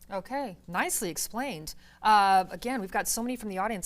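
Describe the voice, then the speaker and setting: On a very clean recording with a silent background, a woman with an unremarkable speaking voice and a fairly high pitch talks at a fairly quick pace with ordinary pitch variation. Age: 50s. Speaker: TV host. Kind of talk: TV panel discussion.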